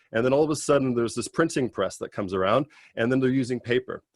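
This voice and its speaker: An American accent comes through with ordinary pitch variation in a dry, close sound with no echo. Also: man. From California. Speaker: PhD student. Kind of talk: informational talk.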